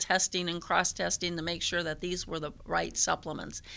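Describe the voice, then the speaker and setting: A woman's fairly low, bright and sharp voice with vocal fry, at a moderate pace on a very clean recording with a silent background. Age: 60s. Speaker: church member giving testimony. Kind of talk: testimony. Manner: halting.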